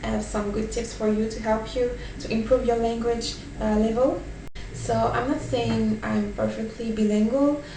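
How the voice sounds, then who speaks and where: A woman with a French accent speaks at a moderate pace. Noticeable background noise and audible room echo fill the recording. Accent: French accent, self-described as imperfect. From France. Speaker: vlogger, language learner. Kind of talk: casual vlog talk with tips. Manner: hesitant, many fillers.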